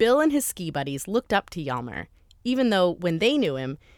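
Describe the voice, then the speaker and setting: The recording is very clean, with a silent background. Her pitch, a woman's, swings very widely. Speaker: podcast host. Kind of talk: scripted narration.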